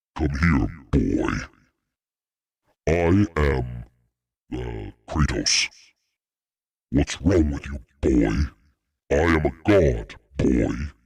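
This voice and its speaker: A man uses a booming, put-on character voice with a very deep, low pitch. He talks at a very slow pace with long, frequent pauses. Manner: gruff, commanding.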